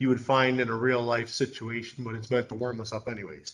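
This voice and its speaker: A man with an unremarkable speaking voice talks at a fairly quick pace, his medium pitch held in a fairly even intonation. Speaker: math teacher. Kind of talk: lecture.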